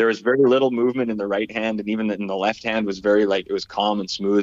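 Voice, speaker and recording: A man with a Canadian accent, flat monotone delivery at a very fast pace. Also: fairly low pitch for a man. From Saskatchewan, Canada. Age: 30s. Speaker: musician. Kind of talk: casual chat.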